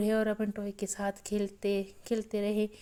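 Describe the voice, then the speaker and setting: This woman's voice has fairly high pitch and a dark, mellow tone. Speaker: lifestyle vlogger, mother. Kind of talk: casual vlog narration.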